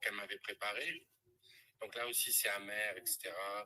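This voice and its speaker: At a moderate pace, a man is talking. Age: 60s. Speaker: testimony giver, former clinic director. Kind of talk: testimony. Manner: hesitant, with fillers.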